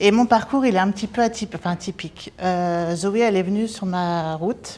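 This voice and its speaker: A normal speaking voice from a woman, moderate in pace, medium in pitch, with ordinary pitch variation. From France. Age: 40s. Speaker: nurse. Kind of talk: testimony.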